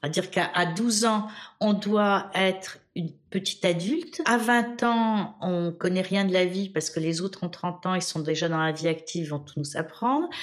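A woman at medium pitch with ordinary pitch variation, moderate pace and hardly any pauses. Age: 60s. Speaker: historian and women's rights activist. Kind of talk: interview testimony. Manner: halting, many hesitations.

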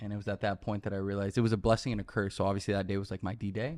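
Against a quiet background, a man with an American accent talks in a fairly low voice with fairly even intonation. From Miami, Florida. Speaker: content creator. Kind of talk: casual chat.

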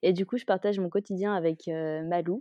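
A woman has an unremarkable speaking voice at a medium pitch with ordinary pitch variation. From Malaysia (French expat childhood, Kuala Lumpur). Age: 20s. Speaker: dog owner. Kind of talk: interview.

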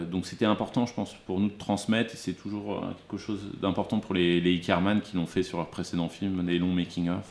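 The man's pitch is very deep and low. He speaks at a fairly quick pace in a monotone, flat way. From Burgundy, France (Dijon). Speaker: film producer. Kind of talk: interview conversation. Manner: halting, many repetitions and hesitations.

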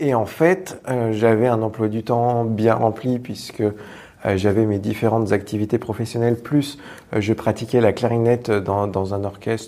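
A man with an unremarkable speaking voice talks at a fairly slow pace. His pitch is medium and his intonation fairly even. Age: 30s. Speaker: improv actor and teacher. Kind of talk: casual interview. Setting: theatre venue.

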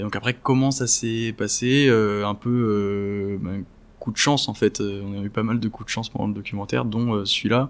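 Moderate pacing and fairly even intonation from an ordinary speaking voice, the recording very clean against a silent background. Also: man, fairly low pitch for a man. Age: 20s. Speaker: documentary filmmaker. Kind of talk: interview.

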